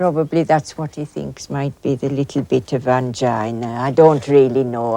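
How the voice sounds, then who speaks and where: Speaking with a Yorkshire accent, a woman uses a very deep, low pitch and a dark, mellow tone, with ordinary pitch variation. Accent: Yorkshire Dales. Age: 60s. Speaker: hill farmer. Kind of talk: documentary interview. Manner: halting.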